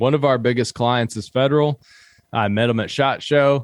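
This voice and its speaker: Speaking with an American accent, a man moves at a fairly quick pace. His medium pitch shows ordinary variation, and the sound is dry and close with no echo. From US South, southeastern Kentucky (Appalachia). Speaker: social media app founder and hunter. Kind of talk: casual podcast interview.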